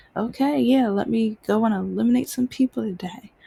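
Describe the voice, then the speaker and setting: Dry and close with no echo, a woman with an American accent speaks in a somewhat breathy, dark, mellow voice with lively intonation. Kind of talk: casual monologue vlog. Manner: halting.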